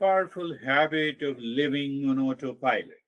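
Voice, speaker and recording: The man's pitch is fairly high. He talks at a very slow pace. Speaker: spiritual teacher. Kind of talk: guided teaching session.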